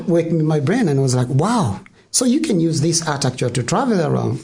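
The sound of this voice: A man with a Tanzanian accent talks at a fairly quick pace, his slightly mellow tone carrying vocal fry over audible room echo.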